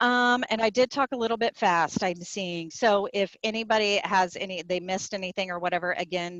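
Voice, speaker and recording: A woman with an ordinary speaking voice at medium pitch talks at a fairly quick pace with ordinary pitch variation, in a dry, close sound with no echo. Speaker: nonprofit association staff presenter. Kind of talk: webinar presentation.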